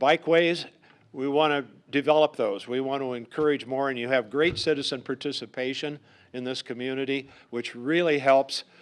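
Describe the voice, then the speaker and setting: At a moderate pace and medium pitch, a man with an American accent talks in fairly even intonation. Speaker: politician. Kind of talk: campaign speech. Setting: public forum with audience. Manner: loud; halting.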